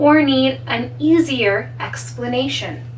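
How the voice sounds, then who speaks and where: A woman with a Canadian accent is heard with audible room echo and noticeable background noise. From Canada. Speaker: English teacher. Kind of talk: tutorial. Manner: slow.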